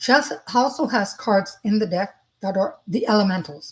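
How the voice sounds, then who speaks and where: A woman's medium-pitched voice, somewhat breathy, rises and falls with ordinary pitch variation. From French-speaking. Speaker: psychic medium. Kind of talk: live spiritual reading stream. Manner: fast; casual, halting.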